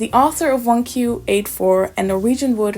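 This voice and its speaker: A woman with a non-native accent against noticeable background noise. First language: not English. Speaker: booktuber. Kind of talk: casual quiz commentary.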